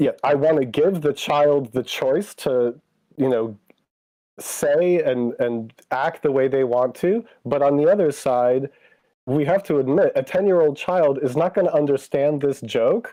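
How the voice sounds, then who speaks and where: A man with a plain, everyday voice, fairly high pitch, ordinary pitch variation, very even loudness and a fairly slow pace. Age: 40s. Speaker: stream guest. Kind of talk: casual chat.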